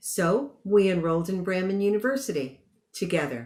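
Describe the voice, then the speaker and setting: A woman is speaking. Her pace is moderate. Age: 60s. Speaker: commencement speaker, graduate and psychotherapist. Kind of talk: commencement speech. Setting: virtual ceremony.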